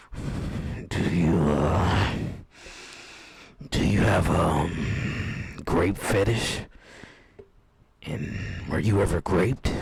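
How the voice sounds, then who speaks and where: A man puts on a character voice that is raspy and very deep, speaking at a very slow pace with long, frequent pauses. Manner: casual, blunt.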